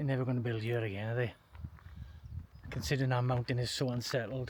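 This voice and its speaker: A man with a South Welsh accent speaks at a very fast pace in a somewhat breathy voice, keeping his loudness very even. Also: medium pitch for a man. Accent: south Welsh valleys. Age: 60s. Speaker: outdoor vlogger. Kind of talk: walking vlog narration. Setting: outdoors. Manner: animated.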